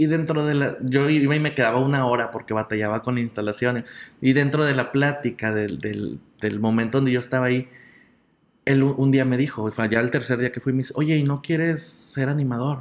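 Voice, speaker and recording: A man with an ordinary speaking voice, a fairly quick pace and fairly even intonation. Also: medium pitch for a man. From Mexico, Nuevo León (Monterrey area). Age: 30s. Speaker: comedian and entertainer. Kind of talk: casual interview chat.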